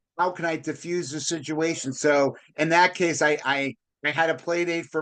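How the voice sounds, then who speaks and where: A loud man at a moderate pace, fairly high pitch, bright, sharp tone and monotone, flat intonation, over a quiet background. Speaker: podcast host, real estate broker. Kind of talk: casual interview chat.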